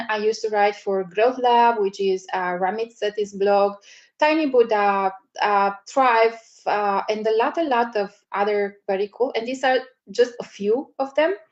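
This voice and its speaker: A woman with a non-native accent, ordinary pitch variation and a moderate pace. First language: not English. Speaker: media strategy coach. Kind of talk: live webinar presentation. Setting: livestream webinar. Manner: hesitant, many fillers.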